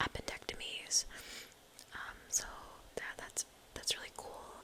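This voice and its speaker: A woman whispers over noticeable background noise. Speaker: medical trainee in surgical rotation. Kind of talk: ASMR whispered life update, casual talk to camera. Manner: whispered, soft-spoken.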